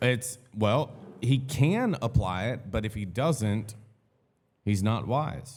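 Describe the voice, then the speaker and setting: His voice comes across somewhat breathy. The man talks at a very slow pace. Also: medium pitch for a man, ordinary pitch variation. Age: 30s. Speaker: podcast host. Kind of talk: casual chat.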